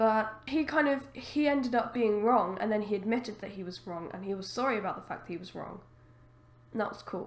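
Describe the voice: Croaky and put-on, the character voice moves at a fairly quick pace with big swings in loudness. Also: woman, fairly high pitch for a woman.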